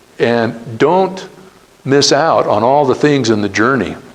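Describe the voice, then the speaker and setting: Noticeable background noise sits behind a man with an American accent. His fairly high voice carries lively intonation. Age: 60s. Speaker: entrepreneur. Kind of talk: talk to students. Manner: casual.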